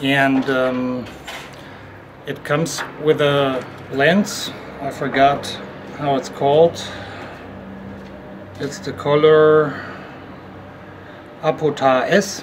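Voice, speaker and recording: Over noticeable background noise, a man speaks at a very slow pace with long, frequent pauses. His pitch is fairly high. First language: not English. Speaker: camera reviewer. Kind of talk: tutorial. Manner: halting.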